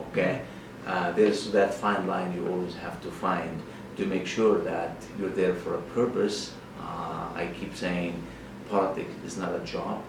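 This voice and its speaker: Noticeable background noise sits behind a man speaking at a fairly slow pace. His voice is very deep and low, with flat, monotone intonation. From Lebanon. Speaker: politician, member of parliament. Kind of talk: interview answer.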